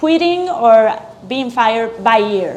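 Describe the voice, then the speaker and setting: A Colombian accent at a fairly slow pace, with audible room echo. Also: woman. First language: Spanish. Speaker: chef and restaurant owner. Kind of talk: interview.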